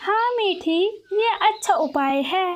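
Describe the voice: A woman puts on a squeaky, cartoonish character voice at an extremely high pitch.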